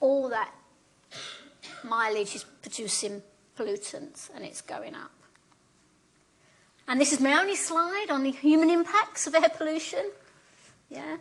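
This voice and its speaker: Over noticeable background noise, a high-voiced woman with a London accent talks at a fairly slow pace with long, frequent pauses, very wide pitch swings and big swings in loudness. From London, England. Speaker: professor. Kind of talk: lecture. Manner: conversational, frequent tag questions.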